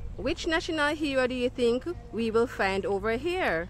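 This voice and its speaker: With very wide pitch swings, a woman speaks at a high pitch and a fairly slow pace, in a dry sound with no echo over light background noise. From Jamaica. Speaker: children's educator. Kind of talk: educational video for children. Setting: outdoors. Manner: animated. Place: garden. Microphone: phone near.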